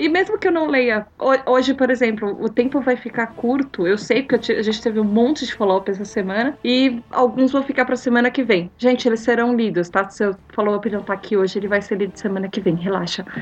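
Over noticeable background noise, a woman talks at a fairly quick pace with hardly any pauses and ordinary pitch variation. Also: fairly high pitch for a woman. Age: 40s. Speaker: podcast host. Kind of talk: reading listener comments.

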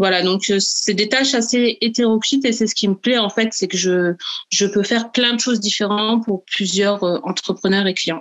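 This woman has a plain, everyday voice, fairly high in pitch, with fairly even intonation, very even loudness and a moderate pace. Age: 30s. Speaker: virtual assistant and budget coach. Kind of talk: interview.

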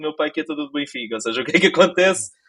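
Very fast speech from a man with a fairly high pitch. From Portugal, Lisbon (Ajuda). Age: 20s. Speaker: gaming journalist. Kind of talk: casual chat.

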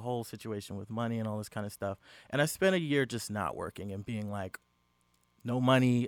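Recorded with a dry, close sound and no echo, a man with an ordinary speaking voice talks fairly quickly at medium pitch with ordinary pitch variation. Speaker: podcast guest. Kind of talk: casual chat. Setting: studio.

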